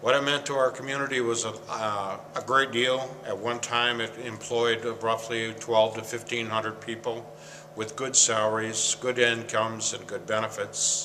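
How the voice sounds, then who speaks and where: Over noticeable background noise, the speaker talks at a moderate pace in an Upper Midwest accent with monotone, flat intonation. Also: man, medium pitch for a man. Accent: Upper Midwest American. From Michigan, US Midwest. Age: 60s. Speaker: former paper mill worker. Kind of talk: interview. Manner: halting.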